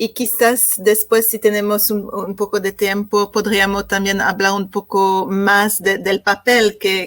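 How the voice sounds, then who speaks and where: A woman with a non-native accent and medium pitch talks at a fairly slow pace. Her intonation is monotone and flat. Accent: foreign accent in Spanish. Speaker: panel moderator. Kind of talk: panel moderation. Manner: halting.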